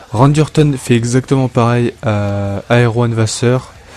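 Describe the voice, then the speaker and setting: Noticeable background noise sits behind a man's voice. He speaks at a medium pitch with ordinary pitch variation. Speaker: wrestling fantasy show host. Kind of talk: casual solo podcast intro; scripted narration of simulated wrestling matches. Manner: hesitant, many fillers.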